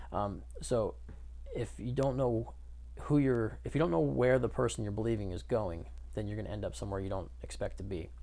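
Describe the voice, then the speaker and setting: Recorded with audible room echo, a man talks at a fairly quick pace, his fairly low voice making very wide pitch swings. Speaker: addiction coach / vlogger. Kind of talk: casual opinion monologue to camera. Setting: self-recorded video, unedited. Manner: slurs words together; hesitant, many fillers.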